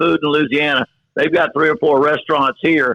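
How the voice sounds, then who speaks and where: His voice is fairly high in pitch, with fairly even intonation. This man keeps a moderate pace. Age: 60s. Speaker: college football head coach. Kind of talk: podcast interview. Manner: repetitive, halting restarts.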